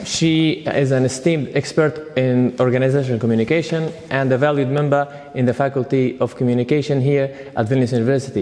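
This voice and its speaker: A man's medium-pitched voice at a fairly quick pace, with hardly any pauses, very even loudness, fairly even intonation and noticeable background noise. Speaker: interviewer. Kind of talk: interview questions.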